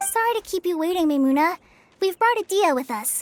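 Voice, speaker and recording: In a put-on character voice, a woman squeaks at an extremely high pitch, talking at a fairly quick pace with very wide pitch swings. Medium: video game. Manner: polite.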